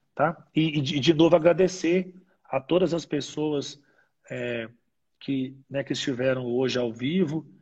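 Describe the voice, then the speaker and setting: Somewhat breathy speech at a very slow pace. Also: man, fairly high pitch for a man, ordinary pitch variation. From Brazil, Minas Gerais (Ipatinga). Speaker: dentist and university research scientist. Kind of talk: interview on a live stream. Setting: online live broadcast. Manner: halting, many repeated fillers.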